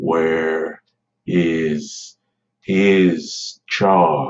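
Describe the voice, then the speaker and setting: A rumbling put-on character voice in a monotone, flat intonation. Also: man, very deep, low pitch for a man. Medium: read story. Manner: menacing.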